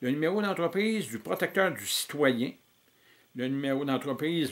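The man's speech shows ordinary pitch variation. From Quebec. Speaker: political activist. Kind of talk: reading aloud. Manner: halting. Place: home room. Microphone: webcam.

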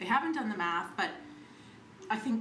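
The woman's tone is fairly bright, and some room echo can be heard around her.

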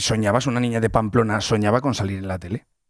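A man with a Castilian accent and ordinary pitch variation, dry sound with no echo, quiet background. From Castile, Spain. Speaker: radio host. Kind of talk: casual radio chat. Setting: radio studio. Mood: playful, joking. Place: studio. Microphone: studio mic.

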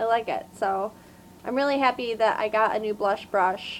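A woman talks with ordinary pitch variation, and light background noise sits underneath. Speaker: beauty vlogger. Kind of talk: casual unboxing vlog chat. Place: home room. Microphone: webcam.

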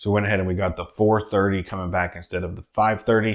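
Here a man talks at a very fast pace. The background is quiet. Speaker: travel vlogger. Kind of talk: casual vlog chat. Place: home room.

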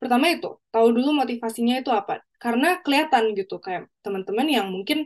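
Against a quiet background, a woman speaks at a very fast pace with lively intonation. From Indonesia. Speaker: exchange student; guest. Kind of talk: panel talk show. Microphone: video call.

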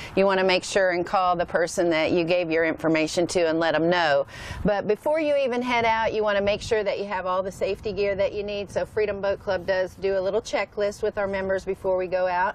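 Over light background noise, a woman talks at a very fast pace with hardly any pauses and ordinary pitch variation, in a dry sound with no echo. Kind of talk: interview answer. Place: boat. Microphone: lapel.

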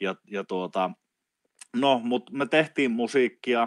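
Against a quiet background, a man speaks at a very slow pace in a dry sound with no echo. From Finland, Oulu; Finland. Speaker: traditional wisdom teacher. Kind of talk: casual interview conversation. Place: home room.

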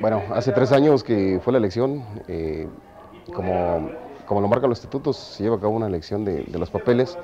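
There is noticeable background noise as a man talks at a fairly quick pace. His pitch is fairly low and his intonation lively. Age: 40s. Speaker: amateur actor in a Passion play. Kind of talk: interview. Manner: halting.

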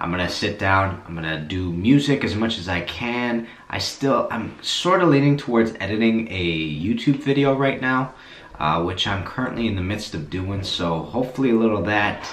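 A man's fairly low voice at a moderate pace, with audible room echo. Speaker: plumber vlogger. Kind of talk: casual vlog chat. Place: bathroom. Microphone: phone near.

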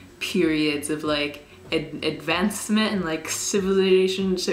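The voice has ordinary pitch variation, with audible room echo and light background noise. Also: woman. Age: young. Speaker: YouTuber. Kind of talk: casual talk to camera. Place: home room. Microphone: camera far.

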